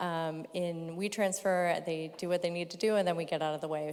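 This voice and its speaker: The pace runs fairly quick. An American accent comes through. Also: woman. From California. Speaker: company sustainability representative. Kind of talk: panel discussion.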